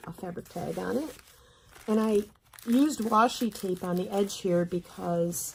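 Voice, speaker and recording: Her voice rests at a mid-range pitch. The woman's pitch shifts in an ordinary way. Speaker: junk journal crafter. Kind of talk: casual talk to camera. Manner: casual, rambling.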